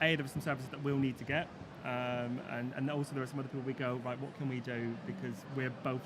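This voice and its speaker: A man rattles off his words very fast while noticeable background noise fills the clip. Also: medium pitch for a man. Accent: West Country. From Plymouth, south-west England. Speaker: business owner. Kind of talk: live panel discussion. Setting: business show with live audience. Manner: animated, informal.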